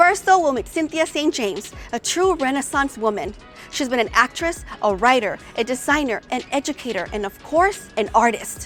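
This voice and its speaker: Music plays in the background as a woman speaks at a moderate pace. Her high pitch moves in very wide swings. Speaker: show host, radio personality. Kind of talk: event host narration, scripted introductions.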